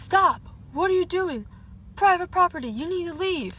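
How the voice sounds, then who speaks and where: A woman shouts in a put-on character voice. Her pitch is extremely high. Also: moderate pace. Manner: yelling, commanding.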